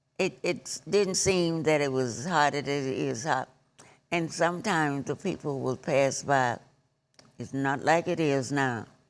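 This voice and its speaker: A fairly slow delivery in a Southern US accent, with ordinary pitch variation. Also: woman, very deep, low pitch for a woman. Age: 80s+. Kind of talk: interview answer.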